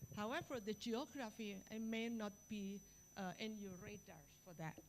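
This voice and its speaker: Speaking with an Indonesian accent, a woman talks at a fairly slow pace in a fairly high pitch. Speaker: university biology professor. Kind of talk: lecture.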